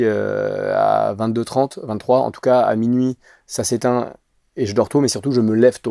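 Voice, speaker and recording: A man speaks in a medium pitch with a dark, mellow tone and fairly even intonation. The recording is very clean with a silent background, and the sound is dry and close with no echo. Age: 30s. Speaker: actor and sketch creator. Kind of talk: casual interview chat. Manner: fast; hesitant, many fillers.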